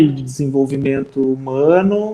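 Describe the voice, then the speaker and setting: A man with a medium-pitched voice. His tone is dark and mellow. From Minas Gerais, Brazil. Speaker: social worker and professor. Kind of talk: interview conversation.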